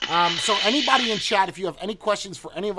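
A man is speaking. His pace is fairly quick. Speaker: livestream host. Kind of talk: casual livestream panel chat. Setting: video call livestream.

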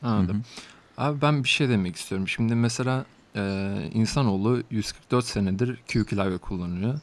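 A man's normal speaking voice, medium in pitch with ordinary variation, at a moderate pace. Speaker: student podcast host. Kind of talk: casual interview.

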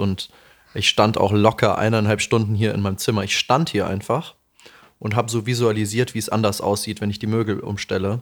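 In a very clean recording with a silent background, a man talks at a very fast pace, fairly low in pitch and monotone, with flat intonation. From Lower Franconia, Bavaria (Aschaffenburg area). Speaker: podcast co-host. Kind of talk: casual chat.

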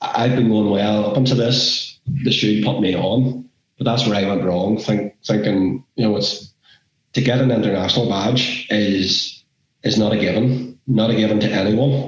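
Spoken in a Northern Irish accent at a moderate pace, the voice holds a very even loudness and fairly even intonation. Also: man, fairly low pitch for a man. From Northern Ireland. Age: 30s. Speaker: football referee. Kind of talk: interview.

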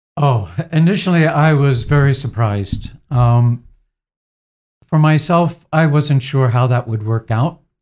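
Speaking at a fairly slow pace, a man keeps very even loudness and ordinary pitch variation. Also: fairly high pitch for a man. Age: 60s. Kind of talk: interview. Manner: halting.

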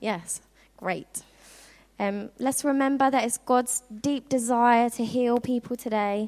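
A woman speaks with a southern English accent. Her pitch is high, with ordinary pitch variation. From southern England (Worthing, Sussex). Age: 20s. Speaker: youth outreach intern. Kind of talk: youth-camp preacher pep talk, rallying teens to go pray for healing.

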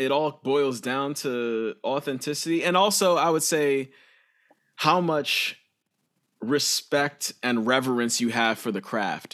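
A man talks at a very slow pace, his fairly high pitch showing ordinary pitch variation. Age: 30s. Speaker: musician and educator. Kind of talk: casual chat.

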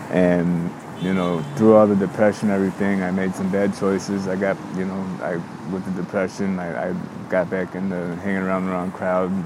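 Through noticeable background noise, a man with an American accent speaks at a moderate pace in a very deep, low, monotone, flat voice. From Chicago suburbs. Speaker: homeless man. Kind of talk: personal testimony interview. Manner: halting, many fillers.

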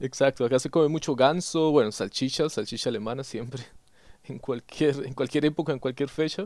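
In a normal speaking voice, a man talks at a fairly quick pace with a fairly high pitch and ordinary pitch variation, on a very clean recording with a silent background. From Colombia, Yopal, Casanare (llanos region). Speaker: podcast host. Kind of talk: interview.

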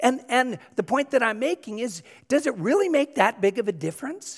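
A man with an American accent swings his pitch very widely, the sound dry and close with no echo. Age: 50s. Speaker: pastor. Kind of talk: sermon.

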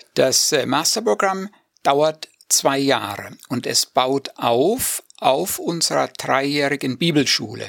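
Recorded with a dry, close sound and no echo, the voice moves at a very slow pace with lively intonation. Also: man, fairly high pitch for a man. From Hesse, Germany (near Marburg). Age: 50s. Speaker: dean of a Bible seminary. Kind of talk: radio interview.

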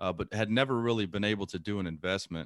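With an ordinary speaking voice and an American accent, a man talks at a fairly quick pace and fairly low pitch with ordinary pitch variation, on a very clean recording with a silent background. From US South, Lake Charles, Louisiana. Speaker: real estate investor and navy serviceman. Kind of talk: podcast interview.

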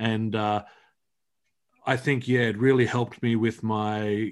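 Against a quiet background, a man talks at a fairly slow pace. He has an Australian accent and a medium pitch. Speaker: comic book writer. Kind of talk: interview. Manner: halting.

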